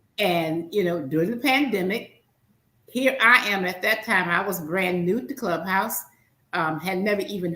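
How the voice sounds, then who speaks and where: Speaking with a Southern US accent, a woman uses lively intonation, a fairly low pitch and a moderate pace. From US South. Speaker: podcast host. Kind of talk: podcast interview. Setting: studio. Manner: animated.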